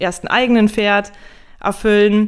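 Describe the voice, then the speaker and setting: A woman at medium pitch speaks in a monotone, flat intonation on a very clean recording with a silent background. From northern Germany (Emsland). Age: 30s. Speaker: equine nutrition consultant. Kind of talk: podcast interview.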